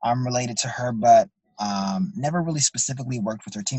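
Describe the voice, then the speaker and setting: At a very fast pace, a man with a medium pitch speaks in a somewhat breathy voice, his pitch swinging very widely. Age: 30s. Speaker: entrepreneur and media owner. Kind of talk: interview. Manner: halting, many fillers.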